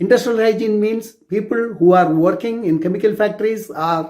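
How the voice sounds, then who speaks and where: A man with a Tamil accent, high-pitched, at a moderate pace and with fairly even intonation. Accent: Indian (Tamil) English. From South India. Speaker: clinical toxicologist. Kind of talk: personal introduction talk. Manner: halting.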